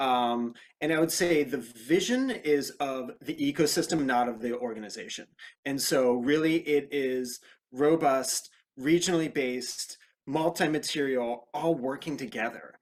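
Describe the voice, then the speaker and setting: Here is a man with fairly high pitch, ordinary pitch variation and a fairly slow pace. He has an unremarkable speaking voice. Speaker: reuse network co-founder. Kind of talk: webinar panel discussion.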